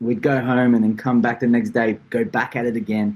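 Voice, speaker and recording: Here a man of medium pitch talks with an Australian accent. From Australia, moved from Portugal at seven. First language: Portuguese. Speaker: tournament founder. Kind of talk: podcast interview.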